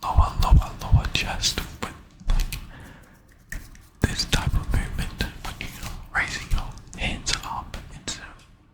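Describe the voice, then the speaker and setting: Whispering at a very slow pace, a man varies widely in loudness over noticeable background noise. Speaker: ASMR creator and gym-goer. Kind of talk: whispered gym voiceover, ASMR. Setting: gym, close-up mic.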